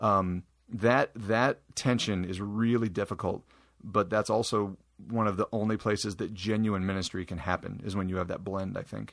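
A man with a Midwestern American accent, fairly low in pitch and fairly even in intonation, at a moderate pace in a very clean recording with a silent background. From Iowa. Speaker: youth minister. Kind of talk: interview.

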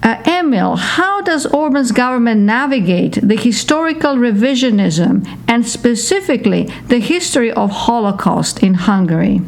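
Over noticeable background noise, a woman with a fairly high pitch speaks at a moderate pace, her pitch swinging very widely while her loudness stays very even. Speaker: podcast co-host. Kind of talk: interview.

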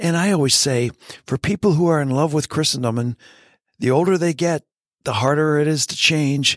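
A plain, everyday voice speaks at a moderate pace with ordinary pitch variation, the sound dry and close with no echo. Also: man, very clean recording, silent background. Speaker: author and theologian. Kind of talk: casual interview conversation.

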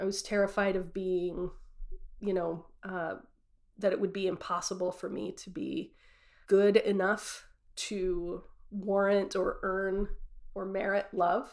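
A woman's medium-pitched voice in an American accent, very slow, with monotone, flat intonation, long, frequent pauses and big swings in loudness. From US West (Utah). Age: 30s. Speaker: storyteller sharing personal faith journey. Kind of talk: personal testimony. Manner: casual, with filler words.

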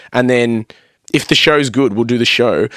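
An Australian accent marks this man's animated delivery at a fairly quick pace. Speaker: metal band vocalist and music producer. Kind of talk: casual chat.

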